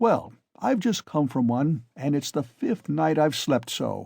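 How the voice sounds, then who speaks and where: In a put-on character voice, a man drawls at a fairly slow pace, his pitch fairly high, his tone solemn, his intonation lively. The recording is very clean, the background silent. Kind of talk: high-flown speech. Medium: read story. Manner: fluent, bold, solemn, drawling.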